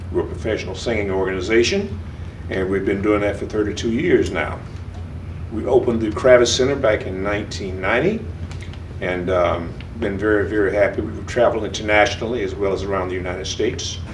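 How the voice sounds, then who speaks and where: A man's fairly low pitch at a very fast pace with fairly even intonation, amid audible room echo and noticeable background noise. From Florida, Palm Beach County. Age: 70s. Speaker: retired teacher and community leader. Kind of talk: oral history interview.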